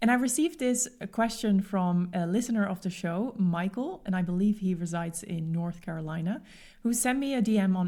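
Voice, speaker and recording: This woman talks at a fairly quick pace with a Dutch accent, her tone dark and mellow and somewhat breathy. Her pitch sits at a medium level for a woman, with ordinary pitch variation. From Netherlands. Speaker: podcast host and expat coach. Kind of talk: podcast monologue. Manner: conversational.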